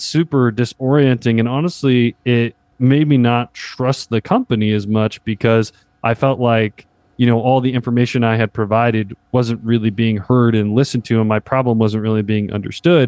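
A man at a medium pitch with fairly even intonation and very even loudness, in a dry, close sound with no echo and a quiet background. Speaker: sales partnership manager and magazine editor. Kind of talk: casual interview conversation. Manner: fast talker.

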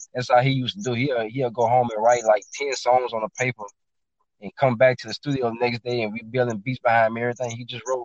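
With a Louisiana accent, a man speaks at a very fast pace in a medium pitch with fairly even intonation. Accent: Southern US, Louisiana. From Baton Rouge, Louisiana. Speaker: rapper and music producer. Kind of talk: casual chat. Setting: studio.

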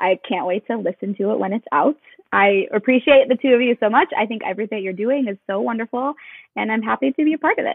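A woman talks very fast in an American accent. Her pitch sits fairly high. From Chicago suburbs, Illinois. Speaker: yoga instructor and business founder. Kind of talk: casual interview.

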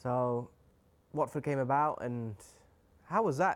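This man has a normal speaking voice at medium pitch, with ordinary pitch variation. He talks at a moderate pace in a very clean recording with a silent background. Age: 30s. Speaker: football podcast host. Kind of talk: casual interview.

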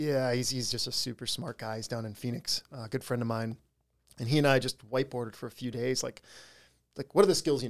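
A man with an American accent and a normal speaking voice, at medium pitch with ordinary pitch variation and a fairly quick pace, in a very clean recording with a silent background. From US Upper Midwest, northwest Wisconsin. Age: 40s. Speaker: entrepreneur and adventurer. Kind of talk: casual interview chat.

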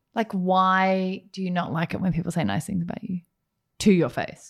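An ordinary speaking voice at a moderate pace, on a very clean recording with a silent background. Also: woman. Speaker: podcast co-host, lawyer. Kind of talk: casual chat.

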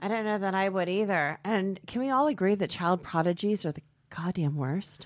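An unremarkable speaking voice from a woman, medium in pitch with ordinary pitch variation, at a moderate pace in a very clean recording with a silent background. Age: 40s. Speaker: podcast host and comedian. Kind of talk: casual chat. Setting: studio.

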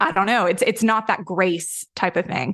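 A woman with a Southern US accent talks at a fairly quick pace with ordinary pitch variation. The background is quiet. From Tennessee, US South. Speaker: digital marketing director. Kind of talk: casual chat.

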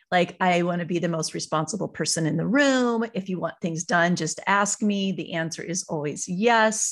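Against a quiet background, a woman with a fairly low pitch talks at a moderate pace in an animated, enthusiastic tone, with ordinary pitch variation and hardly any pauses. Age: 40s. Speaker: author and farm wife. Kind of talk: casual interview chat.

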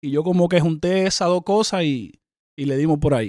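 A man speaks at a moderate pace in a plain, everyday voice, his pitch fairly high with ordinary variation. The recording is very clean, with a silent background. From Dominican Republic. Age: 30s. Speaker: rapper. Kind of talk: interview.

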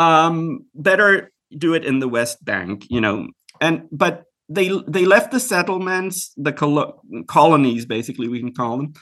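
A man with a fairly high pitch and a bright, sharp tone speaks at a moderate pace with very wide pitch swings. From Israel. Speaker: writer and commentator. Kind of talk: interview. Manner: halting, many repetitions.

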